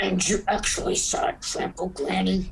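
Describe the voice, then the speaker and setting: Over clear background noise, a man puts on a gruff, raspy character voice at a moderate pace. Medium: audio drama. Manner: gruff, clipped, broken English.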